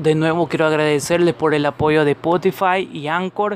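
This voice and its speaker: A man is speaking. His pace is moderate. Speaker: podcast host, medical professional. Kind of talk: educational podcast monologue. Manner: halting, stumbles over words.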